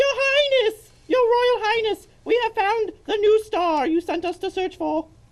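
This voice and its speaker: A cartoonish character voice, extremely high and squeaky, runs at a fairly slow pace. There are hardly any pauses. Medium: puppet show. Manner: pedantic, deadpan.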